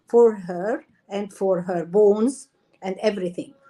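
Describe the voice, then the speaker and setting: A woman's dark, mellow tone with an Arabic accent. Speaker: doctor, endocrinologist. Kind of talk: interview.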